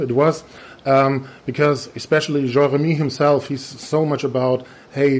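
Fairly even intonation marks this man's fairly high pitch. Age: 40s. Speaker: podcast host, innovation consultant. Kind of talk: interview. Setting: conference in Germany. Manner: halting, many fillers.

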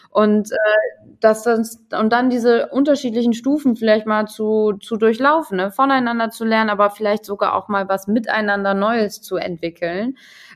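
A plain, everyday voice at a moderate pace, with fairly even intonation and hardly any pauses. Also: woman, fairly high pitch for a woman. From northern Germany (Bremen). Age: 30s. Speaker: consultant on age and generations. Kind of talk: casual interview chat. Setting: video call.

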